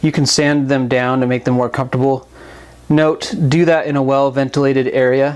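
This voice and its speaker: Over noticeable background noise, a man with a fairly high voice speaks at a moderate pace in a flat monotone, his loudness very even. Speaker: knife reviewer. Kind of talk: product review talk. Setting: new microphone.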